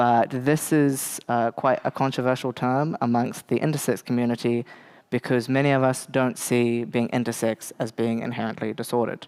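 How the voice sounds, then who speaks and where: The delivery moves at a moderate pace. It comes with a New Zealand accent. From New Zealand, Bay of Plenty (Te Puke). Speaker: lecturer on intersex topics. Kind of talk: lecture. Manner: hesitant, many filler words.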